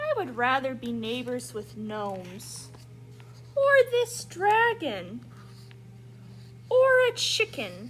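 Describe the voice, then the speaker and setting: A woman uses a put-on character voice at a very slow pace, leaving long, frequent pauses. Clear background noise can be heard. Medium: read story. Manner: grumbling, put-upon.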